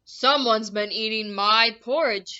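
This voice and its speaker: A woman does a put-on character voice, growling and rumbling at a fairly high pitch with fairly even intonation and a moderate pace. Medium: read story. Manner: grumbling, growling.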